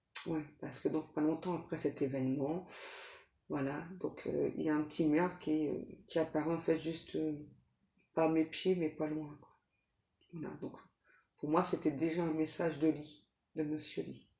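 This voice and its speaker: The voice is soft-spoken, with monotone, flat intonation. The pace is fairly slow. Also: woman, very deep, low pitch for a woman. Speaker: tarot reader, psychic medium. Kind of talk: tarot reading. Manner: hesitant, many fillers.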